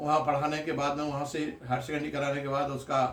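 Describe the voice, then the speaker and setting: A man's fairly high-pitched voice over noticeable background noise. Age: 60s. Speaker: doctor and political activist. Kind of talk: interview.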